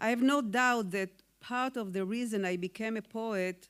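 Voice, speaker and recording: A woman with an Israeli accent speaks at a fairly slow pace with ordinary pitch variation. The recording is very clean, with a silent background. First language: Hebrew. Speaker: poet. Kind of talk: award acceptance speech. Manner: formal.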